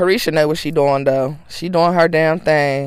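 Animated in tone, a woman speaks at a very deep, low pitch with ordinary pitch variation. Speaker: podcast host. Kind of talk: angry rant; casual gossipy chat. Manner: animated, sassy; loud, furious, heated tirade with cursing.

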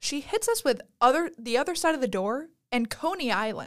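A woman speaks at a moderate pace with a high pitch and very wide pitch swings. The recording is very clean, with a silent background. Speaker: college student podcast co-host. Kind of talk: casual chat.

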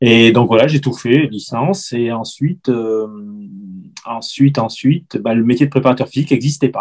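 At a moderate pace, a man speaks in an unremarkable speaking voice of medium pitch with fairly even intonation. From France, Ardèche. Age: 50s. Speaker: football fitness coach. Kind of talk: interview.

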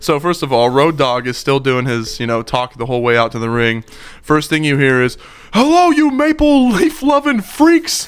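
A man keeps a moderate pace while noticeable noise runs in the background. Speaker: wrestling podcast co-host. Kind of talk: casual chat.

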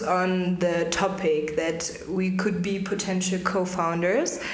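Noticeable background noise and audible room echo surround a woman speaking very slowly at a medium pitch. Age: 20s. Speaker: startup co-founder, lawyer. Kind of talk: podcast interview.

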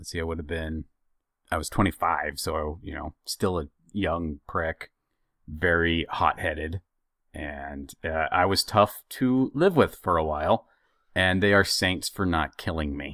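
A man's very deep, low voice with a bright, sharp tone and ordinary pitch variation, fairly slow in pace, with big swings in loudness, a dry, close sound with no echo, and a very clean recording with a silent background. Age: 30s. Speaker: podcast co-host. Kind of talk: casual chat.

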